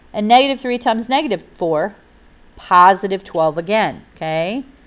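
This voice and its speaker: An animated woman speaks at a moderate pace. Her fairly high voice carries lively intonation. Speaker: math teacher. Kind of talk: tutorial.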